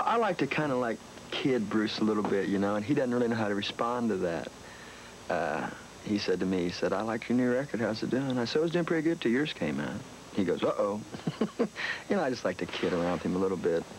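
A man rattles along at a very fast pace while light background noise sounds behind him. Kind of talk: interview answer. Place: garden.

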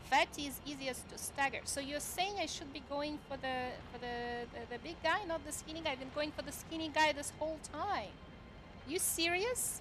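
The voice moves at a moderate pace with lively intonation. Noticeable background noise sits behind it. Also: woman. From Ukraine. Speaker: gaming streamer. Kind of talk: live gameplay stream chat. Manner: animated, excitable.

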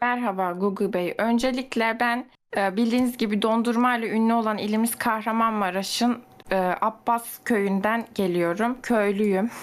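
A woman's unremarkable speaking voice, fairly high-pitched, fairly slow, with fairly even intonation and very even loudness. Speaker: gamer friend. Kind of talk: casual chat, party game.

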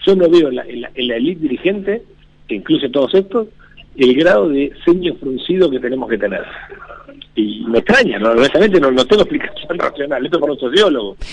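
Over noticeable background noise, a man talks at a fairly quick pace, his fairly high pitch making very wide swings. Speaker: economist. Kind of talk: casual radio interview. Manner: halting.

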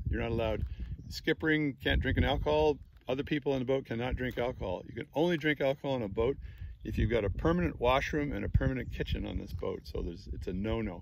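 This man talks at a very fast pace, the sound dry with no echo, and noticeable background noise behind him. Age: 60s. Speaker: YouTube reviewer. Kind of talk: product review walkthrough; casual review tutorial. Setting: outdoors on a boat. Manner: casual, rambling with fillers. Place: boat. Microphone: phone near.

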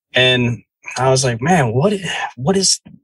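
A man with an American accent speaks at a medium pitch and a fairly slow pace. His voice is somewhat breathy. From New Jersey. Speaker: podcast host. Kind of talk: storytelling.

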